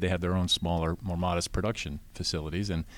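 Speaking in a very deep, low voice with an American accent, a man keeps a fairly quick pace and fairly even intonation. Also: very clean recording, silent background. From US. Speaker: champagne importer. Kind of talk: casual chat.

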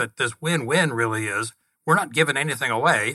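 On a very clean recording with a silent background, a man speaks in a bright, sharp tone, the sound dry and close with no echo. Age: 70s. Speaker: podcast co-host, business owner. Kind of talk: interview conversation.

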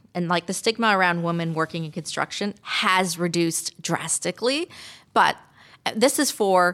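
In a normal speaking voice, a woman talks at a moderate pace with medium pitch and ordinary pitch variation. The sound is dry and close with no echo, on a very clean recording with a silent background. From Canada. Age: 50s. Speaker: architect and construction manager. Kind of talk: radio interview. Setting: studio.

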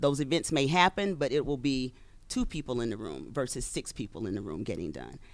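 A woman speaks at a moderate pace with lively intonation and vocal fry. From Louisiana. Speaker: makeup artist and agency owner. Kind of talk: interview. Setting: studio.

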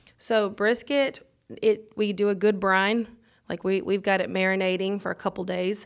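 A woman in a Mississippi accent, medium in pitch, with fairly even intonation. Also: moderate pace. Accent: US South, Mississippi. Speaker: restaurant owner. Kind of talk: casual chat. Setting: studio.

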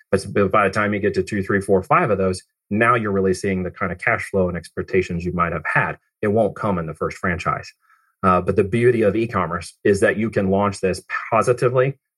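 A plain, everyday voice from a man with an American accent, fairly low in pitch, with fairly even intonation at a fairly quick pace, in a very clean recording with a silent background. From Oregon, US. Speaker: digital marketing agency CEO. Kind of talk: interview.

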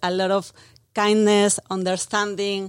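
On a very clean recording with a silent background and a dry, close sound with no echo, a woman speaks at a medium pitch with monotone, flat intonation. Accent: Mexican. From Mexico City. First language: Spanish. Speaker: brand marketing manager. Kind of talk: casual interview. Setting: studio.

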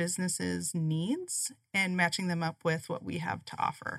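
A woman's bright, sharp voice, fairly low in pitch, at a moderate pace on a very clean recording with a silent background. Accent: Upper Midwest. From South Dakota, US Midwest. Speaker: chamber of commerce business development director. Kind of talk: radio interview.

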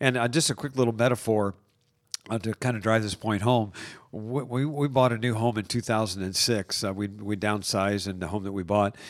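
Speaking at a fairly quick pace, a man has an ordinary speaking voice with a fairly low pitch. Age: 60s. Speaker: coach, host's husband. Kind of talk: casual conversation. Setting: studio.

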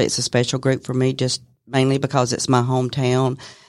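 A woman speaks with a Southern US accent. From Bartow County, Georgia. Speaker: office manager. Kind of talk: casual interview. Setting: studio.

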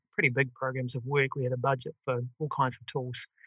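The tone is bright and sharp. The speaker has a New Zealand accent. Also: man, dry, close sound with no echo. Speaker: software company founder, former project manager. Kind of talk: podcast interview. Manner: hesitant, many fillers.

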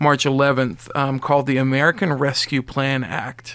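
Fairly high in pitch, a man with an unremarkable speaking voice talks at a moderate pace. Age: 40s. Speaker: radio co-host. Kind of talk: radio talk show interview; community announcements. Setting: radio studio.

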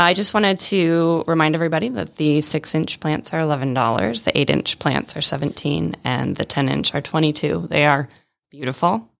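The voice carries noticeable vocal fry. It moves at a moderate pace. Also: woman, very deep, low pitch for a woman, ordinary pitch variation. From Michigan. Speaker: volunteer organization chair and vineyard owner. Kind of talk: radio interview. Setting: radio studio.

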